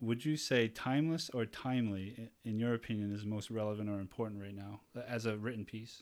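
Hardly any pauses break this man's fairly quick delivery. His pitch is medium and his intonation fairly even. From Taunton, Massachusetts. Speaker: podcast host. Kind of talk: casual chat.

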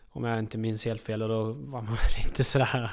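The recording is very clean, and the background is silent. A man's words come at a moderate pace. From outside Sweden. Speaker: harness racing trainer's assistant and farrier. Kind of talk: casual interview. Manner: halting.

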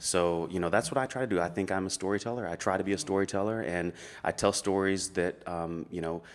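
A man with a very deep, low voice talks at a very fast pace on a very clean recording with a silent background. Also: ordinary pitch variation. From Middle Tennessee. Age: 30s. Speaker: author and preacher. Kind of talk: casual interview conversation.

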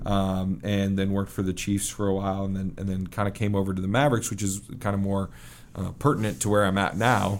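A man with an American accent, fairly low pitch, fairly even intonation and a very fast pace. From US Midwest, Kansas City. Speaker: pro hockey team executive. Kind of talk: podcast interview. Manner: halting, many fillers.

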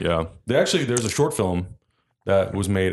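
A man talks in an unremarkable speaking voice. His pitch sits fairly low. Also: quiet background. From US, San Diego, California. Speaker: online video and streaming host. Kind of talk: casual chat.

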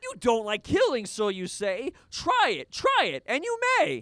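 Fairly slow delivery in a put-on character voice. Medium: audio drama. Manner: taunting, singsong.

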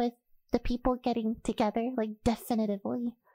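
A woman with an American accent speaks in a high, animated voice, dry and close with no echo, in a very clean recording with a silent background. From United States. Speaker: voice actress and online creator. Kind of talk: casual interview chat. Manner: animated, laughs often.

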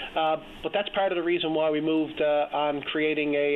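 With a Newfoundland accent, a man with a fairly high voice speaks in a monotone, flat way at a moderate pace, with noticeable background noise. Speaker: provincial politician. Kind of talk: political interview. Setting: phone call.

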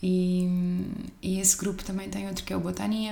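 Audible room echo and noticeable background noise fill the recording. Through them, a woman speaks at a moderate pace. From Portugal. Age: 20s. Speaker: engineering consultant. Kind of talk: casual chat.

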